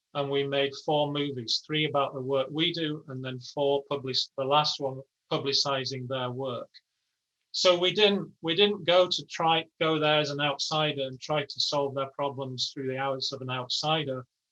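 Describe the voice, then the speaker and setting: A man's fairly high voice with an English accent, at a moderate pace and with fairly even intonation. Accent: English accent, noticeable. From England, Yorkshire. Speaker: architecture professor and studio director. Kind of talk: interview conversation. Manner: casual, frank, with many false starts.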